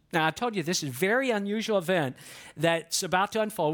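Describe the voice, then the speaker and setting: At a fairly quick pace, the speaker talks with an American accent on a very clean recording with a silent background. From US South. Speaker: pastor. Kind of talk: sermon. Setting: church.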